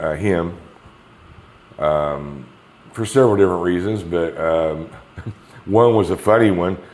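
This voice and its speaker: With audible room echo, a man with an American accent and a very deep, low pitch speaks fairly slowly, with ordinary pitch variation and long, frequent pauses. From Kansas. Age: 60s. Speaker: patient. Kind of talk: interview. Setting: rental apartment.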